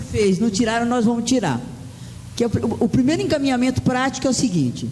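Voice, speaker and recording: The voice has an animated tone. Noticeable background noise can be heard. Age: 60s. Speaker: union leader. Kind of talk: speech at union assembly. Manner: halting, many repetitions.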